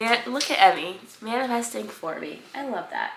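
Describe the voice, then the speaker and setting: Her delivery moves at a moderate pace. The woman's voice carries audible room echo. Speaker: lifestyle vlogger. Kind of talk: casual vlog talk. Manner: casual, filler-heavy.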